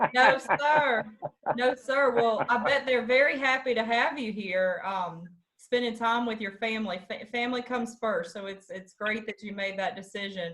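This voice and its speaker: A woman with a Georgia accent speaks at a moderate pace, her loudness swinging widely. Her pitch sits fairly high with ordinary pitch variation. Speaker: interviewer. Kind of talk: interview. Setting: video call.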